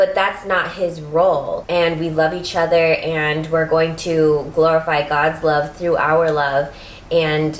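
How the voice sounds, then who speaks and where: A woman's fairly low voice at a very slow pace, monotone and flat, with noticeable background noise and audible room echo. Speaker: lifestyle vlogger. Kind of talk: casual chat.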